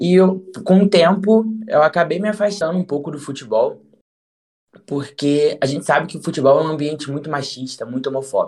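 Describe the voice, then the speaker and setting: A man with a fairly high pitch speaks in an ordinary speaking voice with ordinary pitch variation. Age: 20s. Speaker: journalist. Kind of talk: casual interview chat.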